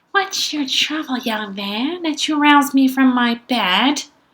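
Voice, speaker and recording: A female-sounding put-on character voice comes out high for a woman. The pace is fairly slow. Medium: read story.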